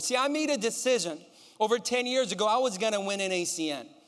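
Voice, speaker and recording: A man speaks at a fairly quick pace in an extremely high pitch, his tone animated and his intonation lively. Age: 30s. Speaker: motivational speaker, sales executive. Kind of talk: motivational speech. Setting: stage with audience.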